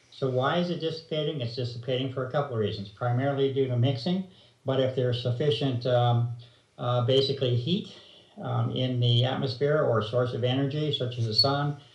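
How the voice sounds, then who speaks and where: This man talks at a fairly quick pace and medium pitch. His somewhat breathy voice has fairly even intonation, with audible room echo around it. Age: 60s. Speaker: researcher interviewed on environmental topic. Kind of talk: interview explanation. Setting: video call. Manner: hesitant, many fillers.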